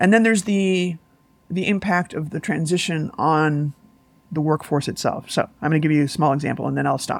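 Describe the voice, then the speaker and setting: Very deep, low-pitched female speech, its pitch varying in an ordinary way. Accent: American. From US Midwest, Chicago. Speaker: investigative journalist and academic. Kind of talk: interview conversation. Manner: halting, many fillers and restarts.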